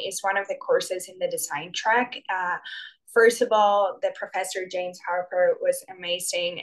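Speaking with a Spanish accent at a moderate pace, a woman swings widely in loudness. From Spain. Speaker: graduate student. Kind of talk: student panel answers.

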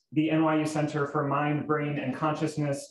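Light background noise and audible room echo around a man speaking at a moderate pace. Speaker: event host introducing program. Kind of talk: event introduction speech. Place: hall.

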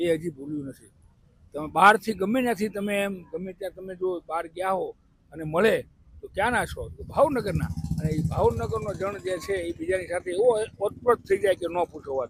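A man with a high pitch, ordinary pitch variation and big swings in loudness. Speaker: interviewed local resident. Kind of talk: street interview.

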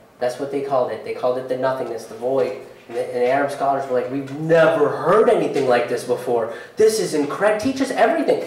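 Very fast speech with audible room echo. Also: man. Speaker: stand-up comedian. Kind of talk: live stand-up comedy set with earnest, hopeful closing message. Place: stage.

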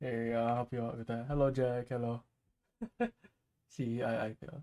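A soft-spoken man with a dark, mellow tone, a moderate pace and monotone, flat intonation. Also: medium pitch for a man. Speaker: livestreamer. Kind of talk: casual chat. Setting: live stream at home at night. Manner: soft-spoken, keeping voice down; halting, repeats words.

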